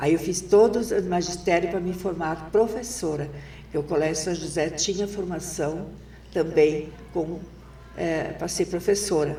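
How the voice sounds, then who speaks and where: Amid noticeable background noise and audible room echo, a woman speaks at a fairly low pitch and a fairly slow pace with fairly even intonation. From southern Brazil, Rio Grande do Sul. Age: 70s. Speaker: retired teacher and former education secretary. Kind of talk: interview.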